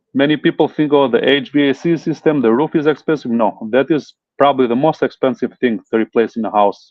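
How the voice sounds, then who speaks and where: A man with a non-native accent at a very fast pace, with ordinary pitch variation. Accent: foreign. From Italy. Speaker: home inspector. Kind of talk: interview. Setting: live stream. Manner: hesitant, many fillers.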